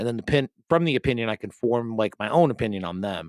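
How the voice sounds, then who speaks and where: An animated man with a Rhode Island accent, at a very fast pace and a medium pitch. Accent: Rhode Island accent, often taken for Boston. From Rhode Island, US. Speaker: podcast host. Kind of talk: casual chat.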